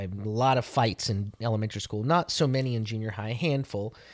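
A man speaks in a normal speaking voice at a fairly quick pace, his fairly low pitch showing ordinary variation in a very clean recording with a silent background. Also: hardly any pauses. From Italian-American heritage. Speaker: podcast co-host, messianic faith. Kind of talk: casual faith conversation.

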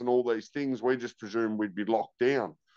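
Someone speaks with an Australian accent against a quiet background, the sound dry and close with no echo. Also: man. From Tasmania, Australia. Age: 30s. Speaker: former prisoner turned rehabilitation worker. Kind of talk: testimony.

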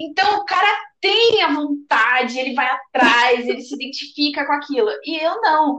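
A woman's raised, projected voice, high-pitched with a bright, sharp tone, at a moderate pace. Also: lively intonation. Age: 20s. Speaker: podcast co-host. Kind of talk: casual chat.

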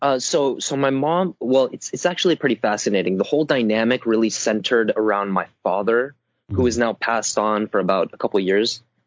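A plain, everyday voice from a man of medium pitch, fairly quick and with hardly any pauses, his pitch varying in an ordinary way. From Southern California. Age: 20s. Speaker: personal growth commentator. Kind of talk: casual interview chat.

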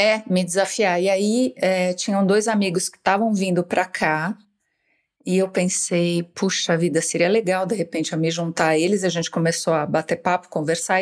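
A woman with a plain, everyday voice speaks at a moderate pace with fairly even intonation on a very clean recording with a silent background. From Brazil, São Paulo state (Piracicaba, interior). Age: 50s. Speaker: writer. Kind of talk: interview.

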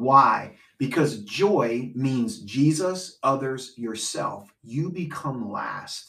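This man's voice has a medium pitch, a bright, sharp tone and lively intonation. He talks at a very slow pace yet leaves hardly any pauses. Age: 40s. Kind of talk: casual faith discussion.

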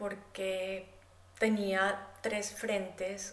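A Bogotá accent amid noticeable background noise and audible room echo. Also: woman. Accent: Bogotá Colombian Spanish. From Colombia, Bogotá. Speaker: artist and economist. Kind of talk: interview conversation.

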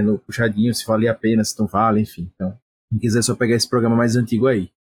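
Very fast and somewhat breathy speech comes through with a dry, close sound and no echo. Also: man. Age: middle-aged. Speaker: podcast host. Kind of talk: casual chat.

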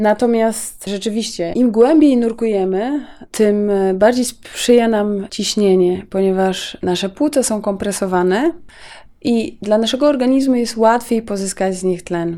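A woman speaks with a dark, mellow tone. The recording is very clean, its background silent. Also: ordinary pitch variation. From Mazovia, Poland. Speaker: freediving instructor and record holder. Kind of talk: interview. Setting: deep diving pool facility.

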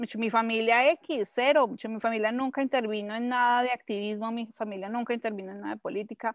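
Over a quiet background, a woman with a fairly high pitch talks at a fairly slow pace in a monotone, flat intonation, the sound dry and close with no echo. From Colombia, Bogotá. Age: 40s. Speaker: activist and communicator. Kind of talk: interview conversation. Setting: home in the countryside.

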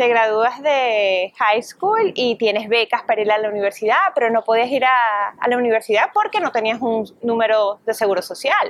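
A plain, everyday voice from a woman, fairly high in pitch with ordinary pitch variation, at a moderate pace with hardly any pauses and very even loudness. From Venezuela. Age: 30s. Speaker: entertainment reporter and radio host. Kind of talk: interview.

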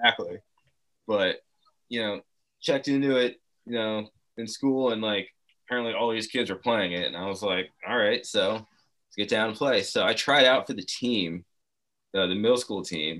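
With an American accent, a man speaks at a medium pitch and moderate pace, his bright, sharp tone showing ordinary pitch variation and long, frequent pauses, in a very clean recording with a silent background. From New Jersey. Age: 30s. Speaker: former professional snowboarder and videographer. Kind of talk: casual chat.

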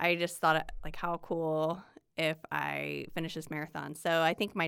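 Speaking with a Midwestern American accent, a woman has a fairly low pitch and a bright, sharp tone. Her intonation is fairly even, on a very clean recording with a silent background. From Indiana. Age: 40s. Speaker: amateur runner. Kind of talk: casual chat. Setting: in person.

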